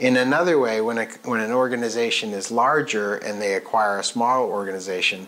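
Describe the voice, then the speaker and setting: A man talks with ordinary pitch variation at a moderate pace while noticeable background noise carries on. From Maine. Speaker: CEO and military veteran. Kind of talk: casual interview. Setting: filmed at his company office.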